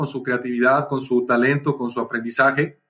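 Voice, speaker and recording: With a Mexican accent, a man speaks at a fairly quick pace in a bright, sharp tone. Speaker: entrepreneur and speaker. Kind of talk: casual chat.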